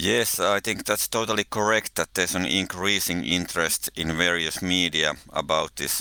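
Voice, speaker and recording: A man with a Finnish accent talks at a moderate pace, hardly pausing, at a very deep, low pitch with ordinary pitch variation and a bright, sharp tone. The sound is dry and close with no echo, in a very clean recording with a silent background. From Finland. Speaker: researcher of religion and ecology, podcast co-host. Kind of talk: casual interview conversation.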